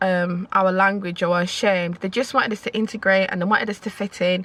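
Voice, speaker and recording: Here a woman talks at medium pitch. Her pace is moderate. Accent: Yorkshire. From Leeds, northern England. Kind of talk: casual talk to camera.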